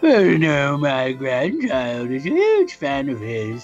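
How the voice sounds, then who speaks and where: A put-on character voice at a low-to-middle pitch moves at a fairly slow pace. Faint music plays in the background. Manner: grandfatherly.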